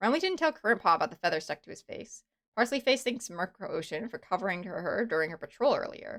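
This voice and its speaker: At a very fast pace, a woman with an American accent talks with lively intonation. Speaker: streamer. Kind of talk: casual chat. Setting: live stream.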